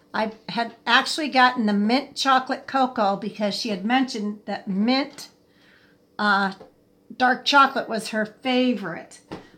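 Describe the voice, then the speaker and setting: A normal speaking voice from a woman, fairly high-pitched, moderate in pace and fairly even in intonation. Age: 60s. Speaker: livestream host. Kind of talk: casual chat. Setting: live stream.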